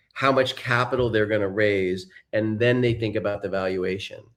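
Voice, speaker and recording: A man with an unremarkable speaking voice, a fairly quick pace and ordinary pitch variation, on a very clean recording with a silent background. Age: 60s. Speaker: serial entrepreneur and investor. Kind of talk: interview conversation.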